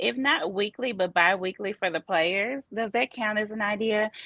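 This woman has a fairly high pitch and a Southern US accent. She speaks at a fairly slow pace. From US South, Memphis, Tennessee. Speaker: football coach's wife. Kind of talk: casual interview. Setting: on location, Los Angeles.

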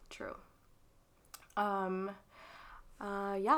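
Her voice sits at a medium pitch. The woman talks in an American accent. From Texas. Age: 20s. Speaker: podcast co-host. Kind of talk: casual chat.

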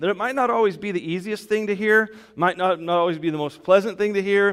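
A man talks with ordinary pitch variation. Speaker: pastor. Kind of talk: sermon. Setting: church; PA system with online stream. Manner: loud, projecting.

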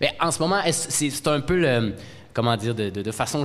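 The voice moves at a fairly quick pace with ordinary pitch variation, against noticeable background noise. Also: man. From Outaouais, Quebec. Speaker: podcast co-host and debate moderator. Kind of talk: moderated debate.

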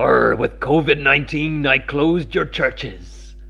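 A man's put-on character voice at a very slow pace, with light background noise

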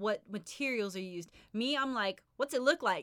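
With lively intonation and a moderate pace, a woman speaks in a normal speaking voice, the recording very clean with a silent background and the sound dry and close with no echo. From Oklahoma, US. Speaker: podcast host. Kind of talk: casual chat.

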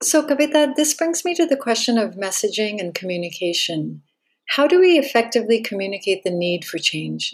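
A woman speaks at a fairly quick pace and fairly high pitch, her voice moving in very wide pitch swings. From Thailand. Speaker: podcast host. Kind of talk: interview.

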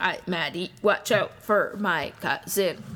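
Using a put-on character voice, a woman speaks at a medium pitch with fairly even intonation. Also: fairly slow pace, very clean recording, silent background.

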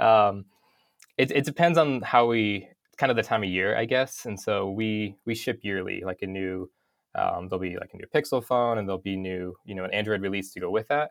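On a very clean recording with a silent background, a man with an American accent has an ordinary speaking voice, fairly low in pitch with ordinary pitch variation. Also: fairly quick pace. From North Idaho, US. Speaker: UX motion designer. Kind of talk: interview. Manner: casual, many fillers.

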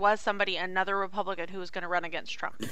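Very fast speech in a bright, sharp tone comes from a woman. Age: 30s. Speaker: podcast co-host. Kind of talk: casual chat.

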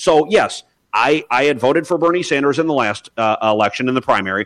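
With lively intonation and a fairly high pitch, a man talks in an ordinary speaking voice. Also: quiet background. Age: 30s. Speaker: caller. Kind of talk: casual group discussion. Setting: video call.

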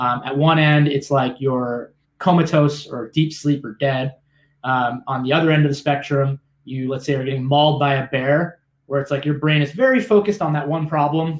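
A man's fairly high voice at a moderate pace, fairly even in intonation, an unremarkable speaking voice. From South Florida. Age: 30s. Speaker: business founder and CEO. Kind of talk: interview.

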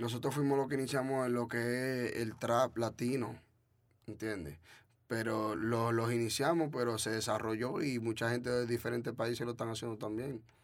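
This man's voice sits at a medium pitch with fairly even intonation. He keeps a moderate pace. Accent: Dominican. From Dominican Republic. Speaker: trap artist. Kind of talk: casual interview.

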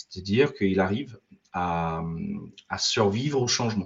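An ordinary speaking voice from a man, fairly slow in pace, with ordinary pitch variation. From Ireland, also raised in US and France. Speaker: IT consultant and business owner. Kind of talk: interview.

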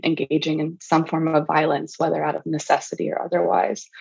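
Speaking with an American accent, a woman uses a very deep, low pitch marked by vocal fry. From US South, Charleston, South Carolina. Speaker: fiction writer. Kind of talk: interview.

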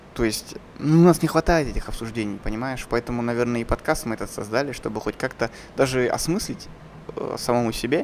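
A man's moderate-paced speech comes through noticeable background noise. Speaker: podcast host, filmmaker. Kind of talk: casual chat.

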